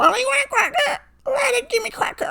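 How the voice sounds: A put-on character voice comes through at a high pitch and a fairly quick pace.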